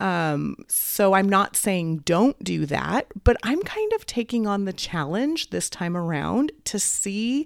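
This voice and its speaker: Upbeat in tone, a woman with a medium pitch shows very wide pitch swings. She speaks at a very slow pace. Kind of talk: casual solo podcast talk. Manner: upbeat, friendly.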